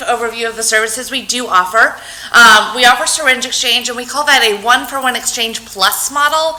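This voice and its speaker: Loud and high-pitched, a woman talks at a fairly quick pace amid noticeable background noise and audible room echo. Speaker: public health program coordinator. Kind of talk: conference presentation. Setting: talk with microphone to audience.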